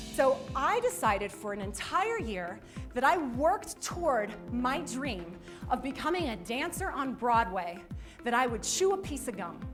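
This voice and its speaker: Very wide pitch swings over music in the background. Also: woman. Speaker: motivational speaker. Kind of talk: motivational speech to a school audience.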